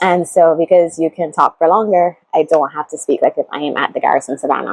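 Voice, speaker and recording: A woman with a Barbadian accent speaks in an animated tone, the sound dry and close with no echo. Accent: Barbadian (Bajan) English. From Barbados. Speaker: YouTuber, how-to and lifestyle vlogger. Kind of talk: casual vlog tutorial. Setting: sitting talking to a camera. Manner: chatty, animated.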